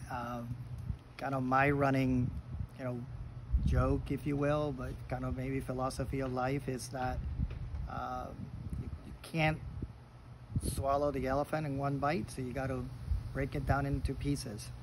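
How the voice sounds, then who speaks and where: There is noticeable background noise behind a man speaking. His speech has long, frequent pauses. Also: moderate pace. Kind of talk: casual reflective talk. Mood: calm, reflective. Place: garden. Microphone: phone near.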